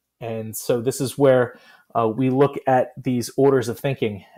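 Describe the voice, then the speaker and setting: A man speaks at a medium pitch in a dark, mellow tone with fairly even intonation. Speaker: middle school STEM teacher. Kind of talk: informal educational talk. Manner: fast; many fillers (um, uh) and restarts.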